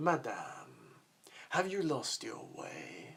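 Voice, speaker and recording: The voice is a put-on character voice. It sits at a middle pitch. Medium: read story. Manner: suave, overly courteous.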